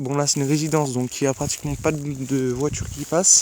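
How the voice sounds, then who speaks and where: A soft-spoken man with a fairly high pitch talks at a moderate pace. His intonation is monotone and flat, with noticeable background noise behind him. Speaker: amateur weather vlogger. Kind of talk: casual weather vlog. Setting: outdoors at night in snow. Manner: hesitant.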